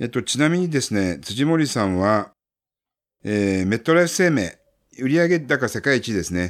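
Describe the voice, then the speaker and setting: The recording is very clean, with a silent background. A man at medium pitch speaks with very wide pitch swings. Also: moderate pace. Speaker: publishing consultant, book-publishing expert. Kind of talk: casual talk, book introduction.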